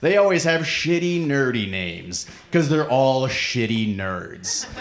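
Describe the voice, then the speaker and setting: A man with an American accent speaks at a medium pitch and a fairly slow pace, his pitch swinging very widely. Audible room echo and noticeable background noise fill the recording. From Nebraska, US Midwest. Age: 30s. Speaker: comedian. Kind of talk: stand-up. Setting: stage with audience.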